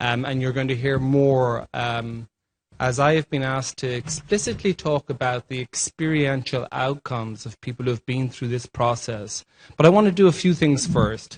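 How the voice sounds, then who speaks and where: This man has an Irish accent and a medium pitch with ordinary variation, at a moderate pace. The sound is dry and close with no echo. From Ireland. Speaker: healthcare leadership formation director. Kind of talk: panel presentation.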